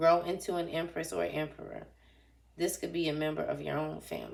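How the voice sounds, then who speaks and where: A woman speaks at a fairly quick pace with big swings in loudness. Audible room echo surrounds her voice. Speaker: tarot reader. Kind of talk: tarot reading.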